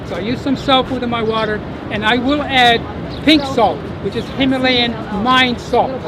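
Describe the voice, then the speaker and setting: Speech comes at a moderate pace with long, frequent pauses. Crowd noise sits in the background. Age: 70s. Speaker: water quality professional. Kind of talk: rally speech.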